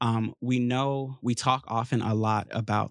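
A man with an American accent speaks in a monotone, flat intonation on a very clean recording with a silent background. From US. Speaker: church podcast co-host. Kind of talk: casual chat.

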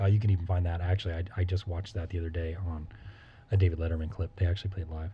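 A man's very deep, low voice, dark and mellow, somewhat breathy, at a very fast pace. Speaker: music podcast co-host. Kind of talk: casual chat. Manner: animated.

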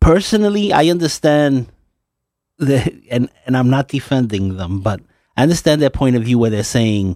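A man at a medium pitch, a normal speaking voice at a moderate pace, on a very clean recording with a silent background. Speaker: station manager and producer. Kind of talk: casual chat.

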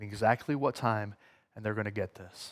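Over a silent background in a very clean recording, a man talks at a fairly quick pace. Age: 40s. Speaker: youth pastor teaching at church. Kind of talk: sermon. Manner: casual, halting with many fillers.

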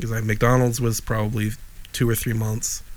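A man with an American accent talks at a fairly quick pace in a medium pitch. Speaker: podcast co-host. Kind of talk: casual chat. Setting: video call. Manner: animated.

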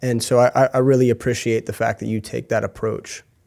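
The voice has a dark, mellow tone, captured in a very clean recording with a silent background. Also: man. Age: 40s. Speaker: podcast host. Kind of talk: interview. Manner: hesitant, many fillers.

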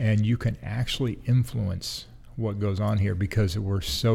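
A man with an American accent, fairly low in pitch, dark, mellow and somewhat breathy, at a moderate pace with ordinary pitch variation. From US Pacific Northwest, Seattle area. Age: 50s. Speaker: city economic development director. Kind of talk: interview. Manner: halting, many fillers and restarts.

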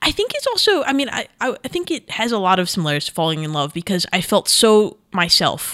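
A woman with an American accent talks at a very fast pace, her fairly high pitch swinging very widely. Her tone is bright and sharp, with hardly any pauses. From New York. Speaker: multimedia director. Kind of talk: casual interview.

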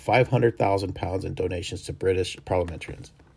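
This man speaks at a very fast pace. His voice is somewhat breathy. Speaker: news podcast host. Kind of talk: news reading, scripted-sounding headlines with occasional ad-libbed asides. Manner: informal, self-correcting, laughs at own slips.

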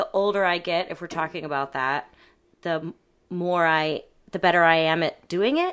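A woman speaks in an ordinary speaking voice at a fairly low pitch, with fairly even intonation and a moderate pace. The recording is very clean, with a silent background. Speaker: actor and burlesque performer. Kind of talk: casual interview chat.

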